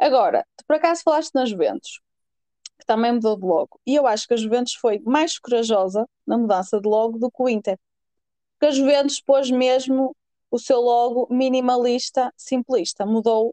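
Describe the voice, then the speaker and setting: In a northern Portuguese accent, a woman speaks at a moderate pace with a high pitch, ordinary pitch variation and a dark, mellow tone, in a dry, close sound with no echo. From northern Portugal. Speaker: podcast co-host. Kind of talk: casual chat.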